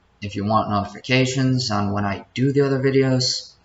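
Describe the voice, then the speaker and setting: A man's medium-pitched voice at a moderate pace, fairly even in intonation, with audible room echo. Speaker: YouTuber telling personal story. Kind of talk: unscripted personal storytelling. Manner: stuttering; off the cuff, unscripted. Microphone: laptop.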